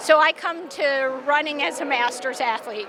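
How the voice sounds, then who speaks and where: A woman's raised, projected voice with ordinary pitch variation, amid noticeable background noise. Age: 60s. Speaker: masters track athlete. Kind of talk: interview. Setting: indoor track venue.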